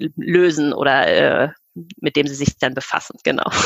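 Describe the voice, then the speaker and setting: Her voice is very deep and low, with fairly even intonation. The woman is recorded dry and close, with no echo. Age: 40s. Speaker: children's book author. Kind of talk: podcast interview.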